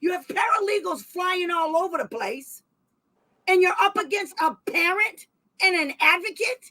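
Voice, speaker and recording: A woman's extremely high, bright, sharp voice, raised and projected, animated in tone, with an American accent. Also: ordinary pitch variation, moderate pace. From Massachusetts. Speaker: special education advocate and channel host. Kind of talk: heated livestream discussion. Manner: loud.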